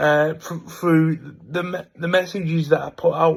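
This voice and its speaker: Fairly high in pitch, a man speaks with an English accent. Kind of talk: casual vlog monologue. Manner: speaks freely and naturally.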